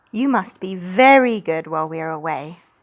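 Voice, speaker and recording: A woman puts on a character voice at a medium pitch. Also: moderate pace. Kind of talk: picture book read aloud. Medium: read story. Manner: scolding.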